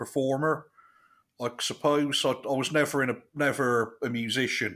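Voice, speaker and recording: A man with a West Country accent and a bright, sharp tone, at a fairly slow pace, on a very clean recording with a silent background. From southwest England, Chippenham. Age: 40s. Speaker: comedian. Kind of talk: casual interview chat.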